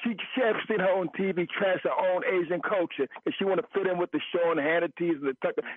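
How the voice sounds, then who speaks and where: Speaking at a fairly quick pace with hardly any pauses, a man uses a high pitch with ordinary pitch variation and very even loudness. Noticeable background noise is present. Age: 50s. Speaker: caller. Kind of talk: call-in radio talk.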